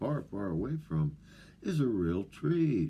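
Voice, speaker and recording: A man's mumbling voice with a dark, mellow tone. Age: old. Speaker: off-grid living vlogger. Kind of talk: casual monologue to camera. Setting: remote wilderness home. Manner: halting, many fillers.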